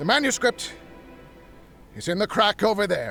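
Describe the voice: In a put-on character voice, a man talks at a moderate pace with a high pitch, a bright, sharp tone, vocal fry and big pitch swings, with faint music in the background.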